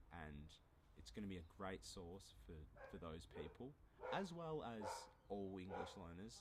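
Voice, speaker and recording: Speaking at a fairly slow pace with an Australian accent, a man uses a very deep, low pitch and vocal fry, with audible room echo. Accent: mild Australian. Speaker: language teacher YouTuber. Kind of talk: casual monologue, language lesson. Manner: moderate pace, clear.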